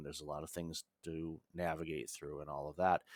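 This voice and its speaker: Speaking at a fairly quick pace, a man with an American accent has a very deep, low voice, recorded dry and close with no echo. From United States. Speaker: business consultant and author. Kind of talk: podcast interview.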